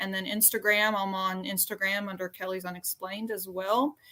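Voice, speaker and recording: This woman has a strong Southern US accent and a bright, sharp tone. She speaks at a moderate pace and a medium pitch. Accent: Southern US accent, pretty strong. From Arkansas, US South. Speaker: paranormal YouTuber. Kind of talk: casual chat.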